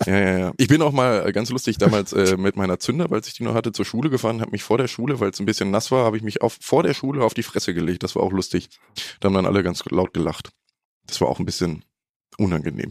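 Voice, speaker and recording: Talking very fast, a man with a fairly low voice uses lively intonation. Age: 20s. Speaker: trainee motorcycle journalist. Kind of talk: casual chat.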